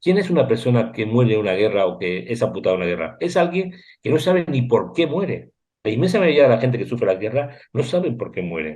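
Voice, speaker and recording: Fairly quick male speech with a dark, mellow tone, vocal fry and very wide pitch swings. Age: 60s. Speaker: war reporter and photographer. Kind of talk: interview. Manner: animated.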